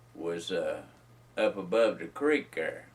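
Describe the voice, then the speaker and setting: A man with a Carolina Piedmont accent speaks at a very slow pace. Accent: Southern US (Carolina Piedmont). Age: 70s. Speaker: retired mill worker sharing memories. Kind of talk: oral history interview. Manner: halting, many fillers.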